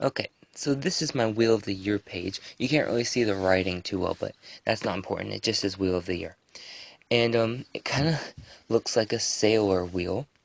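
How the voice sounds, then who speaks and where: A man speaks at a moderate pace with a fairly low pitch. He is soft-spoken. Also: ordinary pitch variation, dry, close sound with no echo. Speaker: pagan craft vlogger. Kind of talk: casual show-and-tell vlog. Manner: soft, quiet speaking.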